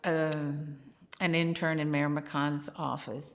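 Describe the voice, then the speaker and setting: Against a silent background in a very clean recording, a woman with a Texan accent talks at a very slow pace in a very deep, low pitch. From Houston, Texas. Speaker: city legal department employee and local historian. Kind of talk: oral history interview.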